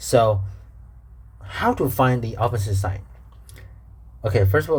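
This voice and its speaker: Somewhat breathy and at a fairly low pitch, a man with a Chinese accent speaks with ordinary pitch variation amid audible room echo. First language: Mandarin Chinese. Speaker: math teacher. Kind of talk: tutorial. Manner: halting, with repetitions.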